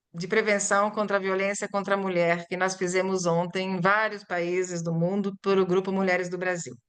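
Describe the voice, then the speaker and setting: Speaking at a moderate pace with hardly any pauses, a woman uses a medium pitch and a monotone, flat intonation. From Brazil (born in Italy, arrived at six). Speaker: Portuguese-as-foreign-language teacher. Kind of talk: lecture presentation.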